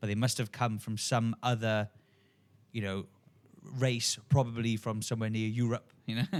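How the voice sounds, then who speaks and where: At a moderate pace, a man with a medium-pitched voice and fairly even intonation leaves long, frequent pauses in a very clean recording with a silent background. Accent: strong South Wales. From Wales, Port Talbot/Swansea area. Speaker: podcast co-host, yogi. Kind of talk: casual spiritual discussion. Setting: studio, filmed podcast. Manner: slurred words.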